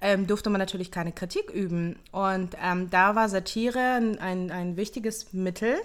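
A woman speaks in a plain, everyday voice at a medium pitch with ordinary pitch variation. Her pace is moderate, and the recording is very clean with a silent background. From Hamburg, northern Germany. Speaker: podcast host, entrepreneur. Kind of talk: casual chat.

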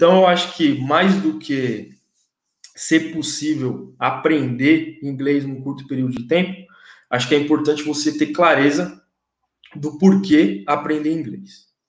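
A man with an unremarkable speaking voice talks at a fairly slow pace. His pitch is fairly high and varies in an ordinary way. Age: 30s. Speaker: English teacher and content creator. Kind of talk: casual chat.

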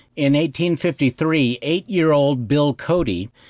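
A man with an American accent speaks at a fairly slow pace in an ordinary speaking voice, his intonation lively, the recording very clean with a silent background and a dry, close sound with no echo. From Wyoming, US. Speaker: podcast host. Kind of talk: scripted narration.

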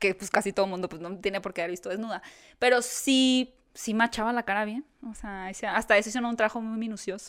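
Very fast, fairly high female voice with fairly even intonation and big swings in loudness. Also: very clean recording, silent background. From Mexico, Hermosillo (Sonora). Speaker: interviewer and video creator. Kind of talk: casual chat.

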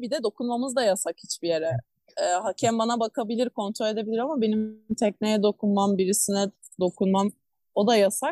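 A woman speaks in a plain, everyday voice at a fairly high pitch and moderate pace. Her pitch variation is ordinary, and the sound is dry and close with no echo. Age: 20s. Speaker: marathon swimmer and swim coach. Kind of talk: interview.

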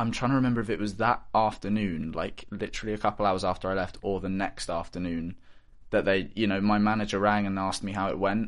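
Against a quiet background, a man with a West Country accent talks at a fairly quick pace in a fairly low, monotone, flat voice. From southwest England, Bristol. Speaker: actor. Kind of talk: interview. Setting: studio.

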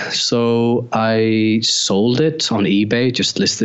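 Over noticeable background noise, a man with an Icelandic accent speaks in a fairly low voice. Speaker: photographer and former pedal builder. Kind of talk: casual interview chat.

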